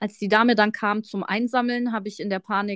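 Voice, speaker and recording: Delivered at a moderate pace with fairly even intonation, an ordinary speaking voice comes through dry and close with no echo on a very clean recording with a silent background. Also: woman. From Munich, Bavaria. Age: 30s. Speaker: tax professional, podcast co-host. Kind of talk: casual chat.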